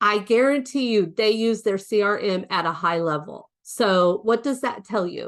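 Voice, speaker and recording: In a quiet background, a woman speaks in an unremarkable speaking voice with a fairly high pitch. She keeps a moderate pace with ordinary pitch variation and hardly any pauses. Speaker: real estate coach. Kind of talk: webinar training.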